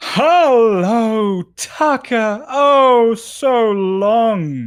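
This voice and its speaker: This is a put-on character voice with a fairly high pitch. The recording is very clean, with a silent background. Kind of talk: loud, welcoming. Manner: big, boisterous, jovial.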